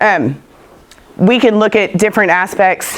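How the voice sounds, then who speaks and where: A woman with a Texan accent speaks at a fairly slow pace. Her intonation is fairly even. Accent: Texan Southern US. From West Texas. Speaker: soil scientist speaker. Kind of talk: conference talk with questions.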